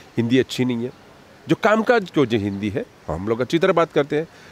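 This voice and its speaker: In a Marathi accent, a man speaks at a moderate pace with very wide pitch swings, in a dry, close sound with no echo. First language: Marathi (speaking Hindi). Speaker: party spokesperson. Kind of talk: interview. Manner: animated.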